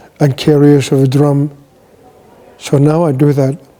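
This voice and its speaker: Noticeable background noise sits behind a man's fairly high voice. He talks fairly slowly in a flat monotone. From Greenland. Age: 60s.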